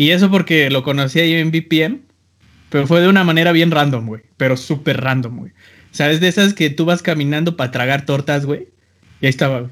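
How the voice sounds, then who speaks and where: In an unremarkable speaking voice with ordinary pitch variation, the speaker goes at a fairly quick pace. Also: man. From Mexico, small town. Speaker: podcast host and music producer. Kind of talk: casual chat.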